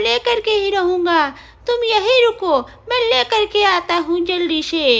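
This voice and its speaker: A cartoonish character voice at an extremely high pitch speaks at a fairly slow pace. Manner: brash.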